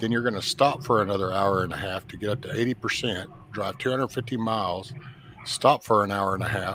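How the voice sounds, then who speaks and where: There is noticeable background noise. A medium-pitched man speaks at a fairly quick pace with ordinary pitch variation. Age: 50s. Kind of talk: casual chat.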